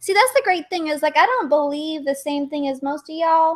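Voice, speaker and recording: A woman speaks with a Texas accent. The recording is very clean and the background silent. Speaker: livestream guest. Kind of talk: casual chat.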